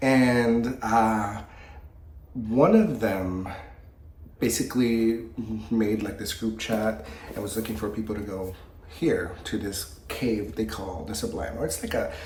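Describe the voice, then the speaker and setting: His medium-pitched voice is heard with audible room echo and noticeable background noise. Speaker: horror book youtuber. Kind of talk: casual book review vlog. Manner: casual, conversational with fillers.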